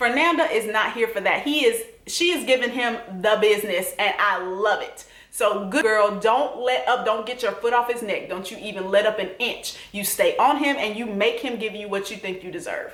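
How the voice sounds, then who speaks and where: A woman's fairly high voice with a Southern US accent, moderate pace and ordinary pitch variation, amid audible room echo and noticeable background noise. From US South. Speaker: TV recap vlogger. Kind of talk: casual vlog commentary. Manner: animated.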